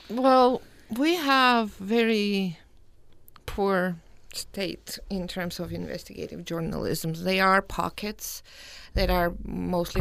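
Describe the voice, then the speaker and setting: A woman with a Georgian accent at a very slow pace, with ordinary pitch variation, in a very clean recording with a silent background. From Georgia (country). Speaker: postdoctoral scholar in journalism. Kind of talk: panel discussion.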